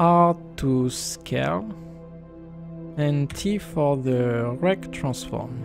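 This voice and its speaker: A man with a non-native accent speaks at a very slow pace with long, frequent pauses, his medium pitch swinging very widely. Music plays in the background. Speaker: game developer. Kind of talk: software tutorial narration.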